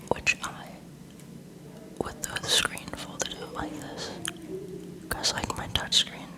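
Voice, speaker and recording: A whisper at moderate speed, set against noticeable background noise. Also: woman. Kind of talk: casual talk to viewers. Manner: soft-spoken.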